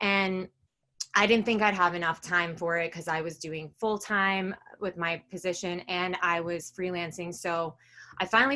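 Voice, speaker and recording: In a New York accent, a woman speaks at a moderate pace and medium pitch with ordinary pitch variation and a bright, sharp tone, over a quiet background. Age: 20s. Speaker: direct sales seller. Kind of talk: business presentation. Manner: casual, filler-heavy.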